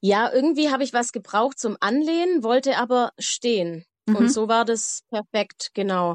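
Speaking at a moderate pace, a woman uses a fairly high pitch and lively intonation. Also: dry, close sound with no echo. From Baden-Württemberg, Germany. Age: 30s. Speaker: mother telling her birth story. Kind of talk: personal narrative in casual interview.

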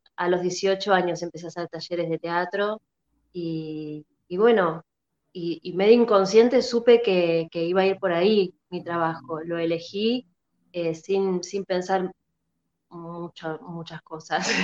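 A woman with a Rioplatense accent, fairly low-pitched, at a fairly slow pace, with fairly even intonation, big swings in loudness, and a dry, close sound with no echo. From Argentina, La Plata. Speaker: actress. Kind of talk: interview.

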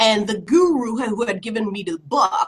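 Somewhat breathy and fairly high-pitched, a woman speaks at a moderate pace with very wide pitch swings. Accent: American. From New Jersey, Woodbury. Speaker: community leader and school board member. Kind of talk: interview.

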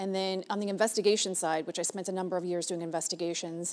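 A woman with an American accent speaks fast in a fairly low pitch, her tone slightly mellow and her intonation fairly even.

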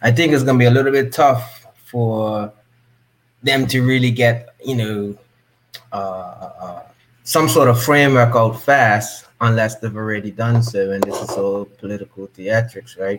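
A man with a normal speaking voice talks at a fairly slow pace, his medium pitch moving with ordinary variation. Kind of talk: casual live chat. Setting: live stream.

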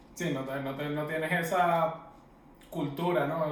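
Through audible room echo and noticeable background noise, a man talks with fairly even intonation. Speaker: podcast co-host. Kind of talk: casual chat.

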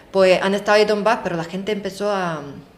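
There is noticeable background noise behind this woman's speech. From Ukraine. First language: Ukrainian or Russian (speaking Spanish). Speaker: Ukrainian interviewee. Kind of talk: interview. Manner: halting, with fillers.

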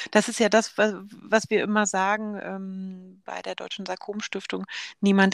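In a very clean recording with a silent background, a woman with a plain, everyday voice speaks at a fairly slow pace in a medium pitch, with big swings in loudness. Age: 40s. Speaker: podcast host, sarcoma patient advocate. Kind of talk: casual conversation.

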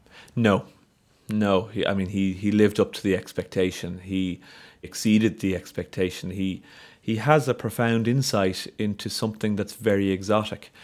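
In a very clean recording with a silent background, a man with a Dublin accent speaks in a fairly low pitch with fairly even intonation. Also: moderate pace. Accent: Dublin Irish. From Ireland, north Dublin. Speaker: solar physicist. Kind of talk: interview conversation.

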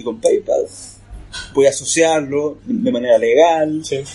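The speaker is a man. He has a Chilean accent. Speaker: comic artist. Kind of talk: casual chat.

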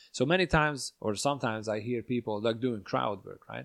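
A man talks at a fairly quick pace with a medium pitch and ordinary pitch variation. The sound is dry and close with no echo. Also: quiet background. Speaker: comedian and podcast host. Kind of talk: casual chat. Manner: talkative.

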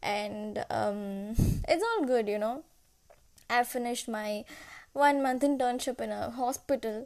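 On a very clean recording with a silent background, a woman with a high voice speaks at a fairly slow pace, with ordinary pitch variation and long, frequent pauses. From India, Kerala (Kottayam). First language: Malayalam and Tamil. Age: 20s. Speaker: nutrition student, podcaster. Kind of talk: personal monologue. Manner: hesitant, searching for words.

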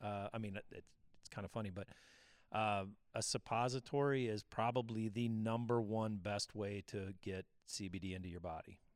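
A plain, everyday voice from a man, fairly low in pitch, with fairly even intonation, moderate pace, and a very clean recording with a silent background. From Missouri. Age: 50s. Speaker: podcast co-host, CBD specialist, army veteran. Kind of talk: casual chat.

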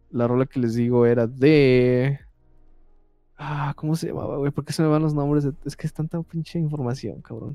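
Speaking with a Mexican accent, a man with a fairly high pitch and a dark, mellow tone keeps fairly even intonation at a moderate pace. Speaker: podcast co-host. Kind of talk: casual chat.

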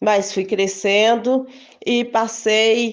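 This woman's voice sits fairly high. Her intonation doesn't change much. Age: 50s. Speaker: supermarket worker. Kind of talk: testimony.

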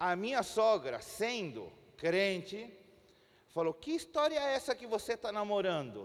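A man with a Spanish accent, at a moderate pace. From Chile. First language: Spanish (speaking Portuguese). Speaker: pastor. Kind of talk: sermon. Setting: church.

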